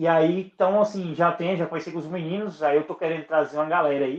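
The man talks at a high pitch. His intonation stays fairly even. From Brazil, western Bahia (Northeast). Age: 20s. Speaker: podcaster. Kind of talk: casual interview chat.

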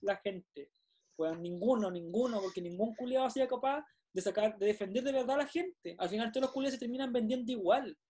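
The voice has a dark, mellow tone and lively intonation, moving at a fairly quick pace. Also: man, extremely high pitch for a man. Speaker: podcast co-host. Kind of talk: casual chat. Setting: video call.

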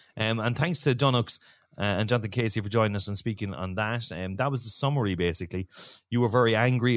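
Medium-pitched male voice with ordinary pitch variation, dry and close with no echo, in a very clean recording against a silent background. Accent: Cork. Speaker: podcast host and football fan. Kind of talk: casual chat podcast.

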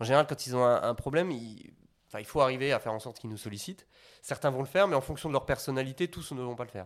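Talking at a very fast pace, a man at medium pitch shows ordinary pitch variation and big swings in loudness. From Belgium. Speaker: sales manager. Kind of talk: interview. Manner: halting, many fillers and repetitions.

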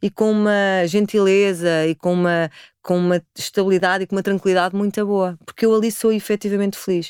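The voice moves at a fairly quick pace in a flat monotone, its sound dry and close with no echo on a very clean recording with a silent background. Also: woman, medium pitch for a woman. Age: 40s. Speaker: spiritual practitioner. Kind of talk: interview conversation.

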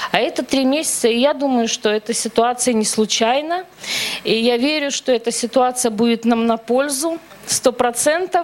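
A woman's high-pitched voice at a moderate pace, with ordinary pitch variation, very even loudness and noticeable background noise. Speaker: churchgoer. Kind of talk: testimony. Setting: church.

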